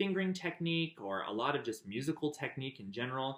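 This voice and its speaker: A man with an American accent, a fairly high pitch, lively intonation, and a moderate pace. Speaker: memoir narrator. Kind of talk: personal storytelling. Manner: casual, with many fillers.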